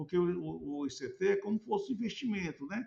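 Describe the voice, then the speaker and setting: A man speaks in a somewhat breathy voice. His intonation is lively and his pace moderate. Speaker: researcher explaining a chart to a professor. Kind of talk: explanatory screen walkthrough. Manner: halting, many repetitions.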